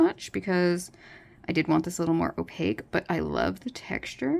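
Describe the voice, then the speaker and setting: A woman is speaking. Her pace is moderate. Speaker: artist. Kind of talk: art tutorial commentary.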